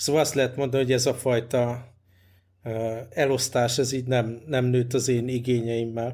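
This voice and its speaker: A man's somewhat breathy, dark, mellow voice, monotone and flat in intonation, with very even loudness. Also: medium pitch for a man, moderate pace. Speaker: podcast host. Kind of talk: casual chat.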